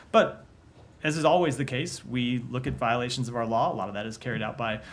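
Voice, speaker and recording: A man talks at a very fast pace with an American accent. Room echo is audible. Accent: Texas accent, usually hidden. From Texas. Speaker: government spokesperson. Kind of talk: press briefing. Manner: measured, with frequent hesitations.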